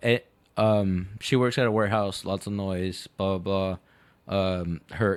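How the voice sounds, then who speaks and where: A man with a slight Mexican accent, fairly low pitch, fairly even intonation and fairly slow pace, in a very clean recording with a silent background. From Mexico, Guadalajara. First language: Spanish. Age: 30s. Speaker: podcast guest. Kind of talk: casual chat. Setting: studio.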